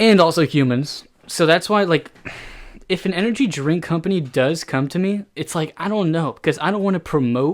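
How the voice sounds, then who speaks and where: In a very clean recording with a silent background, a man with a Florida accent speaks at a moderate pace in a high voice with ordinary pitch variation. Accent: American, Florida. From Florida, Key West. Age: 19. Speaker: podcast host. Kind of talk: casual solo podcast chat. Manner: rambling, filler-heavy casual talk.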